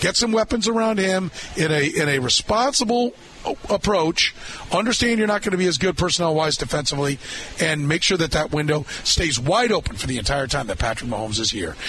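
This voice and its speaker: A man with an American accent speaks at a fairly quick pace in a high pitch, his voice making very wide pitch swings over noticeable background noise. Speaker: radio sports talk host. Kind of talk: live radio sports talk show with ad reads and caller chat. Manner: brisk, conversational, upbeat radio-host patter; punchy sales-pitch delivery on ads.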